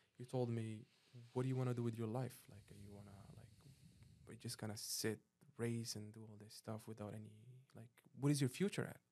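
A man speaks very fast at medium pitch, his intonation fairly even. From Morocco. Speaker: professional jet ski racer. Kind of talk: casual interview.

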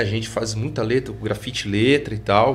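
Fairly slow and full of lively intonation, a man's medium-pitched voice carries vocal fry. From Pouso Alegre, Minas Gerais, Brazil. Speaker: graffiti artist and hip hop veteran. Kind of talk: interview conversation.

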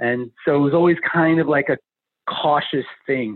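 A man's fairly high pitch with lively intonation. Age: 40s. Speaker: DIY kit entrepreneur. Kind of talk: interview.

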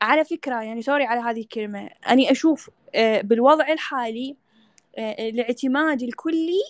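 With an Iraqi accent, a woman speaks fairly slowly in a high voice with ordinary pitch variation, the sound dry and close with no echo. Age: 20s. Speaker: women's rights activist. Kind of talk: panel discussion.

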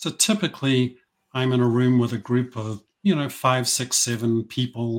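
A man with a New Zealand accent, medium pitch and ordinary pitch variation, at a moderate pace, on a very clean recording with a silent background. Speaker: business coach. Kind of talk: interview conversation.

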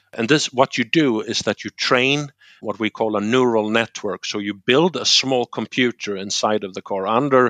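The sound is dry and close, with no echo. A man speaks at a moderate pace with a Swedish accent. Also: quiet background. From Sweden, Gothenburg. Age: 40s. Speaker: tech industry manager. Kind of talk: podcast interview.

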